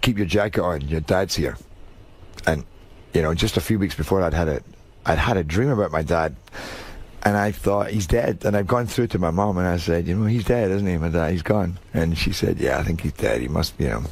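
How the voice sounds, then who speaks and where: A man with a strong Scottish accent talks at a fairly quick pace in a very deep, low pitch with ordinary pitch variation. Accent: thick Scottish. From Scotland. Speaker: actor. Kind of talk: radio interview. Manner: halting.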